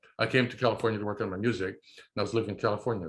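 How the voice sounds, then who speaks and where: Very fast and fairly low-pitched, a man with an American accent talks with fairly even intonation. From upstate New York. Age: 70s. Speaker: new age musician. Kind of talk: interview.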